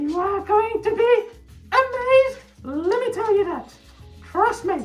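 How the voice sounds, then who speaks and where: Faint music plays behind a playful, put-on character voice moving at a fairly slow pace. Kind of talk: comic overacting. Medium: voice reel. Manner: playful, excitable.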